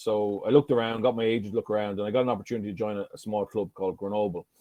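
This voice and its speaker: A man talks at a very fast pace. His fairly low voice keeps a fairly even intonation. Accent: strong southeastern Irish. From Ireland, County Carlow. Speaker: former rugby player and coach. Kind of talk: keynote speech. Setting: conference stage. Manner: conversational, anecdotal.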